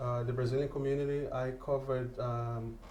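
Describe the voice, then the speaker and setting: Amid noticeable background noise and audible room echo, a man speaks at a moderate pace and medium pitch. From Brazil. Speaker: radio host and journalist. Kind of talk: interview. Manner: halting.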